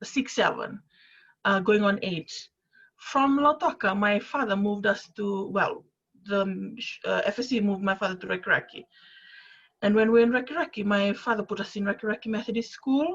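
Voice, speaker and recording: With a Fijian accent, a woman talks at a fairly quick pace in a somewhat breathy voice at a fairly high pitch. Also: ordinary pitch variation. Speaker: panelist. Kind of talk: panel discussion.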